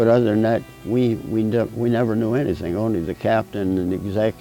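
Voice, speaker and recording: A man with an American accent at a very fast pace, ordinary pitch variation, and music in the background. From Pennsylvania, USA. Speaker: war veteran. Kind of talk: interview answer.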